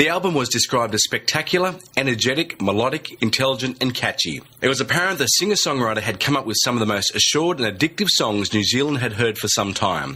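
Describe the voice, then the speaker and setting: A man's very fast, lively-toned speech at very even loudness, with hardly any pauses and noticeable background noise. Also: medium pitch for a man. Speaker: radio host. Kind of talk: radio intro read.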